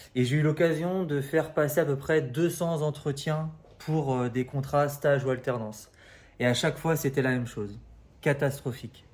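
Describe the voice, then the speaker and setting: A man's somewhat breathy voice, fairly high in pitch, at a moderate pace with fairly even intonation. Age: 30s. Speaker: recruitment coach. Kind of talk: casual advice talk to camera. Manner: hesitant, many fillers.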